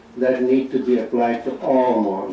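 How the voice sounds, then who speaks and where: Over noticeable background noise, a man talks at a fairly slow pace and medium pitch. The room echo is audible. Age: 70s. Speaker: psychiatrist. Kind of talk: conference speech. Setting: auditorium with audience.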